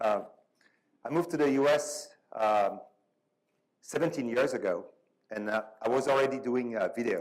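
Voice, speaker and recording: A man with a French accent talks at a moderate pace. He leaves long, frequent pauses. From France. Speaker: panel moderator. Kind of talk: panel discussion. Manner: halting, many fillers.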